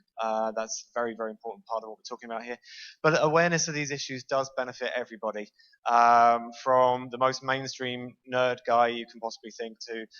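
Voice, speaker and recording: At a fairly quick pace, a man with a British accent speaks in a medium pitch with fairly even intonation. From Britain. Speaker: university lecturer and game developer. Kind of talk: conference talk. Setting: stage with audience. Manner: fast.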